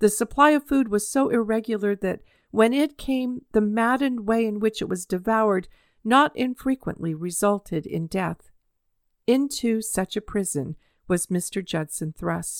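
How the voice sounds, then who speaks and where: In a very clean recording with a silent background, a woman with an ordinary speaking voice talks at a moderate pace, her fairly high pitch rising and falling in lively intonation. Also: dry, close sound with no echo. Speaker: podcast host. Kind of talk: audiobook-style reading aloud of a historical narrative, after a personal chat intro. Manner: earnest, measured storytelling; warm, conversational in intro.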